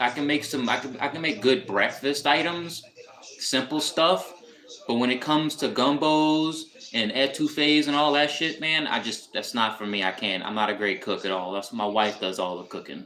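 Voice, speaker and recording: Over noticeable background noise, a man with an American accent speaks with lively intonation. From US South, New Orleans. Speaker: live streamer. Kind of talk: casual chat. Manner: casual, halting with repetitions.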